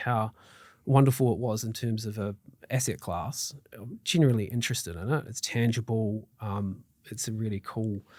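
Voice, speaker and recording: A man talks with a New Zealand accent. The recording is very clean, with a silent background. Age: 40s. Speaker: mortgage broker. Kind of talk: interview. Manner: hesitant, many fillers.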